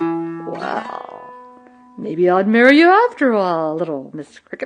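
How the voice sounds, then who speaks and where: Faint music plays in the background as the speaker uses a put-on character voice at a middle pitch and a fairly slow pace. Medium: read story. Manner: pompous.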